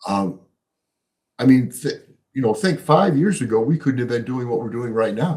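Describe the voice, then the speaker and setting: A man speaks with an American accent and a lively, bouncing intonation. His voice is somewhat breathy, broken by long, frequent pauses. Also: medium pitch for a man, moderate pace. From US Midwest, Chicago. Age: 70s. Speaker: economist and author. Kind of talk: podcast interview.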